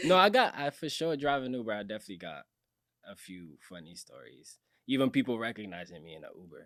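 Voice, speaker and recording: Over a very clean recording with a silent background, a man at a medium pitch talks at a very fast pace, with very wide pitch swings and big swings in loudness. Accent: Cape Verdean. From Cape Verde. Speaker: musician and social media influencer. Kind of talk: podcast interview. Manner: calm; casual.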